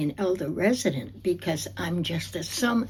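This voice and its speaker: A woman with an American accent, fairly low pitch, vocal fry, ordinary pitch variation and a fairly slow pace. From New Jersey. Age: 80s+. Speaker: oral history interviewee. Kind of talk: oral history interview. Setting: library.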